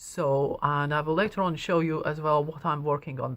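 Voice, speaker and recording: A woman with a Latvian accent speaks at a fairly slow pace in a very clean recording with a silent background. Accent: Latvian accent, noticeable. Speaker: knitting shop owner and teacher. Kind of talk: personal story to camera. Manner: hesitant, many fillers.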